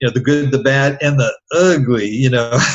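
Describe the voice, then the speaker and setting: A man's somewhat breathy voice at medium pitch, with a moderate pace and fairly even intonation. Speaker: real estate investor and podcaster. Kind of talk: interview. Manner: halting, many fillers.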